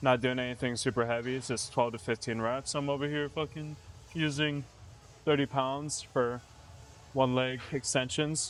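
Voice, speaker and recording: Music plays in the background. The speaker holds a moderate pace with fairly even intonation. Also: man, medium pitch for a man. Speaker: fitness vlogger. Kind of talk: casual chat during a gym workout. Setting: gym. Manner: low energy.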